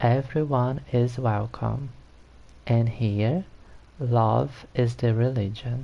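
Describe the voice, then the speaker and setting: Speaking very slowly with long, frequent pauses, a man with a Brazilian Portuguese accent has a medium-pitched, dark, mellow and somewhat breathy voice with ordinary pitch variation. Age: 30s. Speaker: gaming streamer. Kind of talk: live stream gameplay chat.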